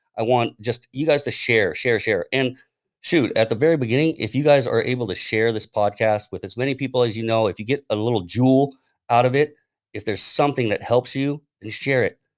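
At a fairly quick pace, a man speaks at medium pitch with ordinary pitch variation in a normal speaking voice. The sound is dry and close with no echo, on a very clean recording with a silent background. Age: 40s. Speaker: podcast host. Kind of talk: casual chat.

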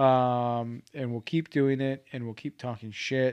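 A man with a fairly high pitch speaks in a normal speaking voice at a fairly slow pace. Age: 20s. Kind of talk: casual chat.

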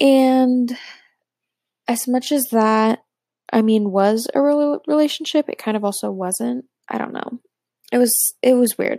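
Speaking at a fairly slow pace with long, frequent pauses, a woman has a high pitch, ordinary pitch variation and a dark, mellow tone. The recording is very clean, with a silent background. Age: 20s. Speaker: solo podcaster. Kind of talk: casual personal monologue. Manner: halting, lots of fillers.

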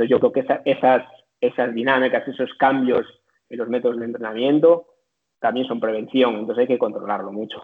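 At a fairly quick pace, a man speaks in a medium pitch. His intonation stays fairly even. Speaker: strength and conditioning coach. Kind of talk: interview. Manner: halting.

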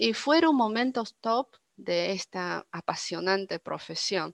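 Speaking very slowly with a Chinese accent, a woman uses lively intonation at a medium pitch, recorded dry and close with no echo against a quiet background. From northern China (Dalian). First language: Chinese (speaking Spanish). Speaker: interpreter. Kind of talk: interview.

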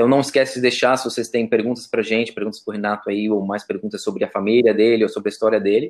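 A man talks at a very fast pace with hardly any pauses. His pitch is medium and his intonation monotone and flat. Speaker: podcast co-host. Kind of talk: casual chat.

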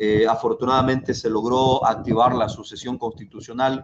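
A man talks at medium pitch and a moderate pace. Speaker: political candidate. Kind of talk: political debate.

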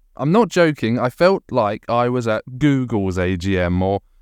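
The background stays quiet. In a British accent, a man is speaking. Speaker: podcast host, community media association chair. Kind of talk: casual chat.

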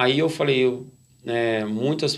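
The recording is very clean, and the background is silent. In it, a man talks at a mid-range pitch. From Brazil, interior of São Paulo state (Nuporanga/Brodowski). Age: 40s. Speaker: church lay worker. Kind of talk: testimony. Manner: halting, frequent fillers.

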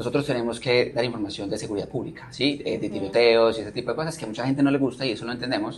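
A medium-pitched man with a Colombian accent at a very fast pace, over noticeable background noise. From Colombia, Manizales. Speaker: TV news presenter and producer. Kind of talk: interview.

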